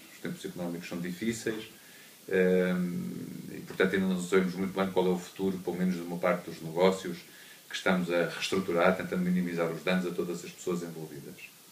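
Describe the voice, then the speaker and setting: A man with a very deep, low voice talks at a very fast pace in a monotone, flat delivery, with audible room echo around him. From Mozambique, then Portugal from 1974. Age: 40s. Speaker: cancer patient and entrepreneur. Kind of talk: conference talk, personal testimony. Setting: conference hall with audience. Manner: hesitant, many fillers.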